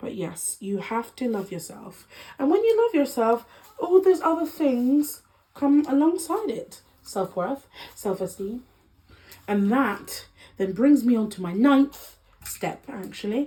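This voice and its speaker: With a Congolese accent, a woman speaks in a high pitch at a fairly slow pace, her voice making very wide pitch swings over noticeable background noise. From Democratic Republic of Congo heritage. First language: Lingala. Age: 20s. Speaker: lifestyle vlogger. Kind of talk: casual chat.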